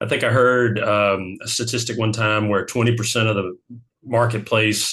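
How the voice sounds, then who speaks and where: A man with an American accent, medium pitch and monotone, flat intonation. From US South. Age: 60s. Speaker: financial advisor. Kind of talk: interview. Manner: halting, many fillers.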